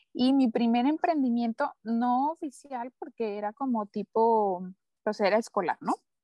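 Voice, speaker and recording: The recording has a dry, close sound with no echo, and a woman speaks at a fairly slow pace. Her voice is high-pitched with lively intonation. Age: 20s. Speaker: entrepreneur. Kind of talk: interview.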